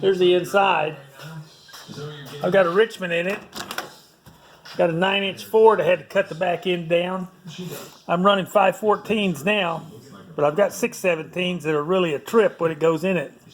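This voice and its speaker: Amid noticeable background noise, a man with a high pitch speaks at a moderate pace, his intonation fairly even and his pauses long and frequent. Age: 70s. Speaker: motorcycle and car hobbyist. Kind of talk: casual workshop vlog. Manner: casual, rambling with fillers.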